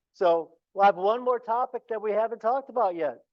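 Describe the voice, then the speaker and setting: Loud and high-pitched for a man, this voice moves at a moderate pace with ordinary pitch variation, recorded dry and close with no echo against a quiet background. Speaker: science educator. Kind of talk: public talk.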